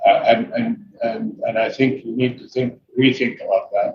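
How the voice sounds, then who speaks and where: A man with an Arabic accent talks at a moderate pace. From Saudi Arabia. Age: 60s. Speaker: businessman. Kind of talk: interview.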